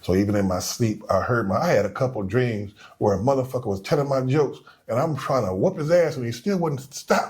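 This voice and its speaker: A man mumbles with lively intonation. His voice is somewhat breathy. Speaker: comedian. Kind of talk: casual chat. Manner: low, mumbling.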